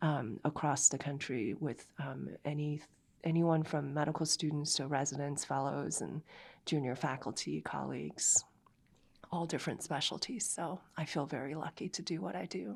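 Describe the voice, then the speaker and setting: A woman speaks with vocal fry at a very deep, low pitch. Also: ordinary pitch variation, moderate pace, very clean recording, silent background. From immigrant to the US. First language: not English. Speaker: geriatrics professor. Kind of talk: interview.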